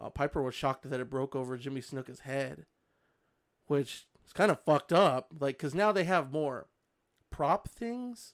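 In a very clean recording with a silent background, a man has an unremarkable speaking voice, ordinary pitch variation and a moderate pace. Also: fairly high pitch for a man. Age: 30s. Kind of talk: casual chat.

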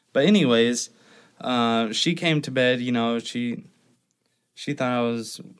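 It's a normal speaking voice with an American accent and ordinary pitch variation. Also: man, very clean recording, silent background. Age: 30s. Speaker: tattoo artist. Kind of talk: interview, personal story.

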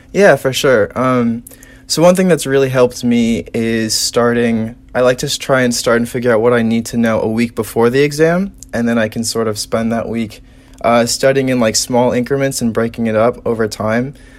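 A man with an American accent speaks at a moderate pace in a normal speaking voice. His pitch is medium, with ordinary variation. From Indiana, South Bend. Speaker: college student. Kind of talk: casual chat.

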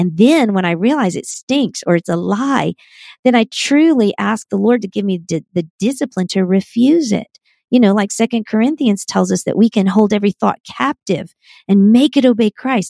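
Recorded with a dry, close sound and no echo, a woman speaks in a plain, everyday voice at a medium pitch. Her intonation is lively and her pace moderate. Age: 50s. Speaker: author and Bible teacher. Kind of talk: interview.

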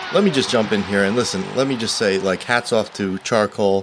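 Animated and playful in tone, a man speaks with a fairly low pitch and ordinary pitch variation. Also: very clean recording, silent background. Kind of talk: casual banter, mock sports commentary. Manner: animated, playful.

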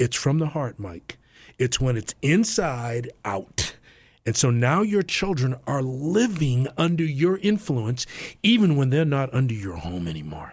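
A somewhat breathy man speaks at a fairly slow pace and medium pitch, his pitch swinging very widely, in a very clean recording with a silent background. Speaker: football coach and Bible teacher. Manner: informal, halting, repeats words.

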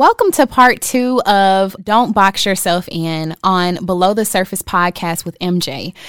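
In a normal speaking voice, a woman talks at a fairly slow pace with ordinary pitch variation and hardly any pauses, the sound dry and close with no echo. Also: medium pitch for a woman. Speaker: podcast host. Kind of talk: casual interview conversation.

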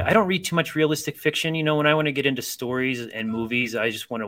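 With an American accent, a man speaks using lively intonation. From US Midwest, Akron, Ohio. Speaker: author and librarian. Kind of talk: casual chat.

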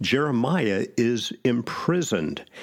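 A man speaks with vocal fry. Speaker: pastor. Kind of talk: sermon-style Bible teaching with scripture reading aloud. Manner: earnest, solemn, reverent delivery when reading the prayer; measured, teacherly.

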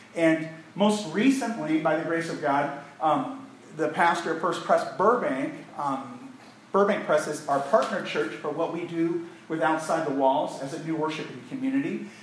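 Against noticeable background noise and audible room echo, a man with a fairly high pitch speaks at a moderate pace with lively intonation. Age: 40s. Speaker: pastor. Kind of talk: sermon. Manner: animated.

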